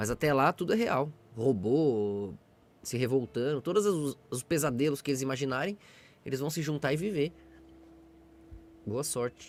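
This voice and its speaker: A soft-spoken man talks at a moderate pace with fairly high pitch and lively intonation. He leaves long, frequent pauses. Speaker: livestreamer. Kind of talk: casual live stream chat.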